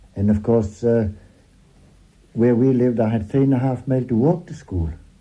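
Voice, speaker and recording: In a Northumbrian accent, a man speaks at medium pitch and a moderate pace with a dark, mellow tone. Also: ordinary pitch variation. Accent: Northumbrian burr, rolled R's. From Northumberland, near Haltwhistle. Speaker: local countryman interviewee. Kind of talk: casual interview chat.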